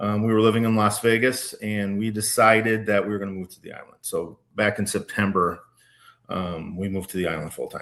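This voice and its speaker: Fairly quick and fairly even in intonation, the voice carries a slight Minnesota accent over a quiet background. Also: man, fairly low pitch for a man. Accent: slight Minnesota accent, shows on some words. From Minnesota, Minneapolis-Saint Paul area. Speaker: wine educator and small business owner. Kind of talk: casual interview. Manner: hesitant, many fillers and restarts.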